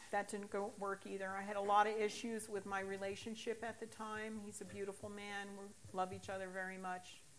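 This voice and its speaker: Over noticeable background noise, a woman with an American accent talks at a fairly quick pace in a flat monotone at a medium pitch. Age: 60s. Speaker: recovering alcoholic sharing testimony. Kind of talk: testimony.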